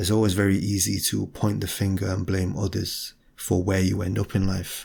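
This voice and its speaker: A soft-spoken man with a British accent talks at a moderate pace in a fairly low, somewhat breathy voice. His intonation is monotone and flat. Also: very clean recording, silent background. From Britain. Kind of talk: ASMR talking, philosophical reflection. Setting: home, window open, some outside noise. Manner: soft-spoken, quiet.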